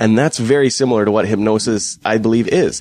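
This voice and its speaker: A man with a western Canadian accent talks at a very fast pace and a medium pitch. The sound is dry and close, with no echo. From Fort McMurray, Alberta, Canada. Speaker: local guest co-host. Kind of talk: casual chat. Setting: home dining room studio.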